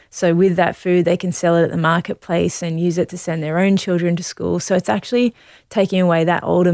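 A woman with an Australian accent, fairly low in pitch and fairly even in intonation, at a fairly quick pace with hardly any pauses, on a very clean recording with a silent background. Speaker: Olympic distance runner. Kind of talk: casual interview.

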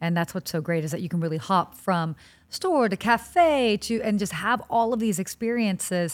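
A woman's ordinary speaking voice at medium pitch, with lively intonation and a moderate pace. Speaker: podcast host. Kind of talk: casual interview.

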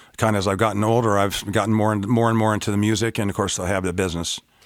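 The intonation of this man's voice is fairly even. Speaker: guitar dealer and guitarist. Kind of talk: casual interview chat.

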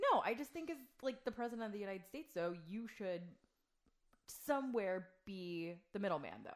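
Speaking at a moderate pace, a woman uses lively intonation at a medium pitch in a plain, everyday voice. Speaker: host's wife. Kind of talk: casual conversation.

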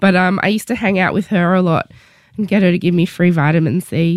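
A woman with an Australian accent speaks at a very fast pace. Her pitch is fairly low and her intonation fairly even. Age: 30s. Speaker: author. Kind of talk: casual chat. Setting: studio.

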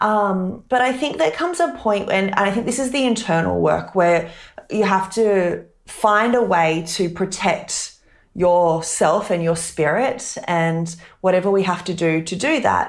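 A woman with an Australian accent speaks fairly slowly at medium pitch with ordinary pitch variation, and audible room echo surrounds her voice. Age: 30s. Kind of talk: interview.

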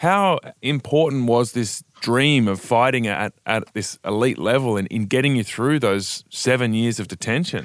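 Against a quiet background, a man with an Australian accent speaks with ordinary pitch variation. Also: medium pitch for a man, moderate pace, hardly any pauses. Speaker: podcast host. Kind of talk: casual news chat.

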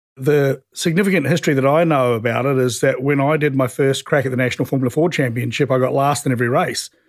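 A speaker with a New Zealand accent talks at a very fast pace with fairly even intonation and very even loudness, on a very clean recording with a silent background. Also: man, fairly high pitch for a man. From New Zealand, South Island (Ashburton). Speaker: racing team owner and former racing driver. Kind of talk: interview storytelling.

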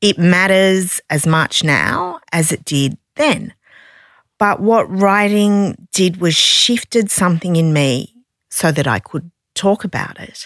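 A woman's medium-pitched voice with an Australian accent and ordinary pitch variation, at a very slow pace, on a very clean recording with a silent background and a dry, close sound with no echo. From Australia, Sydney. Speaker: non-fiction publisher and author. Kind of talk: interview conversation.

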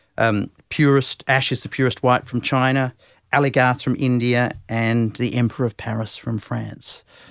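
Over a silent background in a very clean recording, a man speaks in monotone, flat intonation with an Australian accent. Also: medium pitch for a man, moderate pace. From Western Australia, Perth. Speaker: TV channel manager. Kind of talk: interview. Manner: hesitant, with filler words.

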